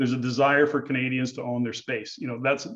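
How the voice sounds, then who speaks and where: The man has an ordinary speaking voice, pitched in the middle, with fairly even intonation. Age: 60s. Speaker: real estate investor educator. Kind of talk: podcast interview.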